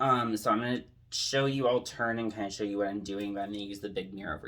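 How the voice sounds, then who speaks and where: Soft-spoken and fairly low in pitch, a man talks at a fairly quick pace. His pitch varies in an ordinary way. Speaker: drag queen makeup tutorial creator. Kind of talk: tutorial. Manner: casual, filler-heavy.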